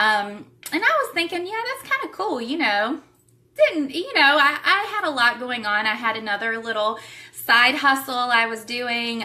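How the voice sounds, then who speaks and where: Noticeable background noise behind a woman with a Southern US accent, high-pitched and animated, lively in intonation, at a fairly slow pace. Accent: Southern US (Georgia). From Savannah, Georgia, US South. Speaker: direct sales distributor. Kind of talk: live stream recruiting talk. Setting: livestream from home.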